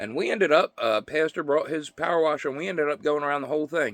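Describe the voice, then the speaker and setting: In a very clean recording with a silent background, a man speaks at a very fast pace with a fairly high pitch. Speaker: vlogger sharing personal recovery updates. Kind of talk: casual personal monologue. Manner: loud and clear; halting, many fillers.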